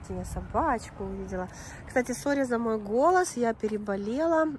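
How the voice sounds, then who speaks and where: A fairly high-pitched woman with lively intonation and long, frequent pauses, over noticeable background noise. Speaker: dog vlogger. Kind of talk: casual vlog. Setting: outdoors. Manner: chatty.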